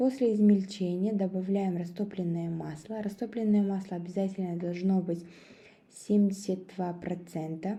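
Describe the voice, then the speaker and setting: With a Kazakh accent, a woman speaks at a fairly slow pace in a medium pitch, her dark, mellow tone somewhat breathy and fairly even in intonation, with audible room echo. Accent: Kazakh accent in Russian. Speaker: cooking video creator. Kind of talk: recipe tutorial. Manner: hesitant, many filler sounds.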